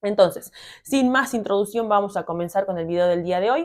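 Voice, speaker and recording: At a fairly quick pace, a woman speaks in a plain, everyday voice with ordinary pitch variation, in a very clean recording with a silent background. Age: 30s. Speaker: fitness coach and PE teacher. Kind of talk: vlog-style tutorial talk.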